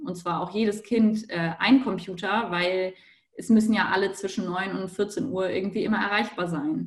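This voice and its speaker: This woman has an ordinary speaking voice at a medium pitch. She talks at a moderate pace with ordinary pitch variation. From Hamburg, northern Germany. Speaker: university student. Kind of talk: panel discussion.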